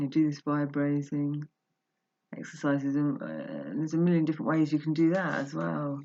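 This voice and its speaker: A soft-spoken voice at a moderate pace. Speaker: personal vlogger. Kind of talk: casual monologue. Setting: at home, just got up. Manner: halting.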